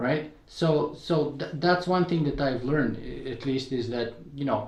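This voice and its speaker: Audible room echo surrounds a man with a Bulgarian accent who talks fairly slowly at a fairly high pitch. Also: ordinary pitch variation. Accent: noticeable Bulgarian. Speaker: podcaster and blogger. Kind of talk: interview conversation.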